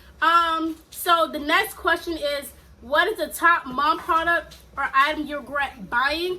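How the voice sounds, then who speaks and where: A woman uses a raised, projected voice at an extremely high pitch. Noticeable background noise is present. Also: ordinary pitch variation. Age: 20s. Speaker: mom vlogger. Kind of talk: casual vlog Q&A. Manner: casual, hesitant with fillers.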